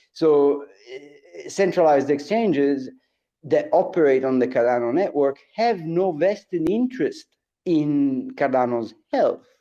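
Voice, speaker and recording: Lively intonation marks this man's fairly high-pitched voice, which has a dark, mellow tone and a fairly slow pace. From outside the US. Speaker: crypto stake pool operator. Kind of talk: live audio space discussion. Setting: live Twitter Space. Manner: repeats words, filler hesitations.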